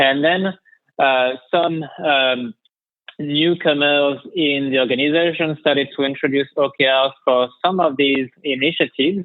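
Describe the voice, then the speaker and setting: At a fairly slow pace, a man with a French accent speaks at a fairly high pitch, keeping fairly even intonation and very even loudness. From France. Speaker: head of strategy and operations. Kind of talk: podcast interview. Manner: halting, many fillers.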